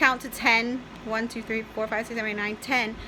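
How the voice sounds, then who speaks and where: A woman speaks in a raised, projected voice over noticeable background noise. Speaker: diabetic vlogger. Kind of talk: casual talk to camera.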